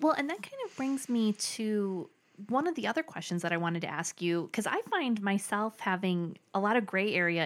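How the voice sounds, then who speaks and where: A woman's ordinary speaking voice at medium pitch, with lively intonation and a moderate pace. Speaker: podcast host. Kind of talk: casual interview chat.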